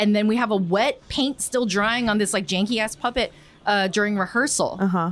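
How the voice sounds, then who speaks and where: A woman talks at a fairly quick pace with a fairly high pitch. Her loudness stays very even, and her pitch varies in an ordinary way. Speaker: comedian and puppeteer. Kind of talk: casual interview chat.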